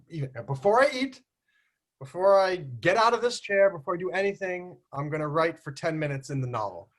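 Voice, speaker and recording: At a moderate pace, a man talks with very wide pitch swings. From United States. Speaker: online community host. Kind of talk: casual group video chat.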